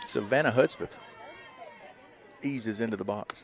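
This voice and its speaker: Over crowd noise in the background, a man with an American accent talks at a medium pitch with fairly even intonation. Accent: rural Southern, redneck-sounding. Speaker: sports play-by-play commentator. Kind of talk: live commentary. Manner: fast; casual, chatty.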